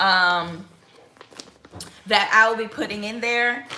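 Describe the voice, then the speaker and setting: Audible room echo and noticeable background noise surround a woman whose fairly high pitch shows ordinary pitch variation. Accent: American. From Mississippi, Biloxi. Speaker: lifestyle vlogger. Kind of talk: casual cooking vlog.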